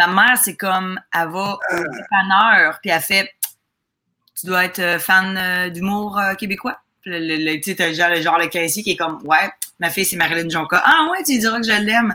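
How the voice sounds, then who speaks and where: At a moderate pace, a woman speaks in a bright, sharp tone at medium pitch. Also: ordinary pitch variation. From Quebec, Lac-Saint-Jean. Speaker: comedian. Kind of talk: casual chat.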